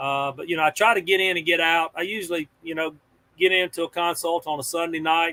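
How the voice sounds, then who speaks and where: Speaking fairly quickly, a man uses a voice pitched fairly high. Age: 60s. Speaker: fence industry consultant. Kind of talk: podcast interview. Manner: casual, filler-heavy.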